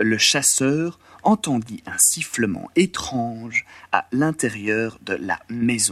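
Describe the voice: The clip is simply someone reading aloud plainly.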